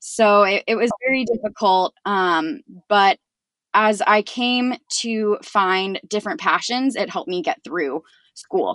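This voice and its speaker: Against a quiet background, a woman speaks fairly slowly with lively intonation and a fairly high pitch, the sound dry and close with no echo. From Northern California, US. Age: 20s. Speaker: patient advocate. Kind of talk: interview.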